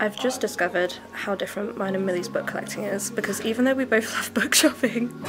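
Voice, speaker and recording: A woman speaks with fairly even intonation over clear music in the background. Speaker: book vlogger. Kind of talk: casual vlog chat. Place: shop. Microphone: phone near.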